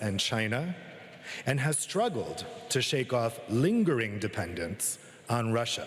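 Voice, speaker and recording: Over noticeable background noise and audible room echo, a man speaks fairly slowly with lively intonation. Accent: American. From United States. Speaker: journalist and author giving a talk. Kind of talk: conference keynote speech. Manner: formal.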